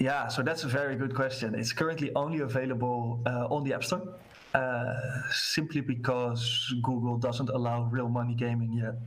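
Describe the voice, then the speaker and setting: With a Dutch accent, a man speaks at a moderate pace and medium pitch amid noticeable background noise. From Netherlands. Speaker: sales professional in a gaming company. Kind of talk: casual interview chat. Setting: video call with screen sharing.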